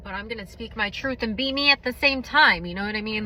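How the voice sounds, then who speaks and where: A woman speaks with an ordinary speaking voice. Her pitch sits fairly high, with ordinary variation. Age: 20s. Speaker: vlogger sharing personal testimony. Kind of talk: testimony.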